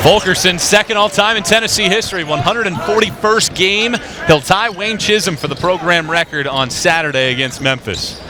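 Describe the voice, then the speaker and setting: A man at a fairly quick pace and high pitch, with lively intonation, hardly any pauses, and noticeable background noise. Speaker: sports broadcaster. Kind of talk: TV basketball play-by-play.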